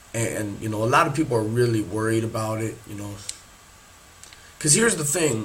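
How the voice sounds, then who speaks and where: Over background music and audible room echo, a man speaks at a medium pitch. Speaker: podcast host. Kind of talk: casual monologue podcast. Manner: casual, filler-heavy.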